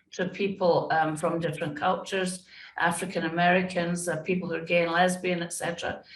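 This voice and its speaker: A Scottish accent at a moderate pace. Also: woman. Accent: British (Scottish). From Scotland. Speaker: diversity and inclusion consultant. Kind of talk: interview.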